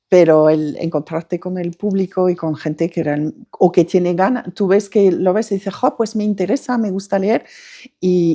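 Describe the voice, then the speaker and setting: At a moderate pace, a woman talks in a medium pitch with a dark, mellow tone. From France. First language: French (speaking Spanish). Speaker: novelist. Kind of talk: interview. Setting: bookshop. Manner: halting.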